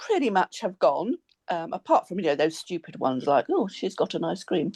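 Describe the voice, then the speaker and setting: The sound is dry and close, without any echo. A woman speaks at a moderate pace. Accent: English. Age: 60s. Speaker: former bariatric nurse. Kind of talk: interview testimony.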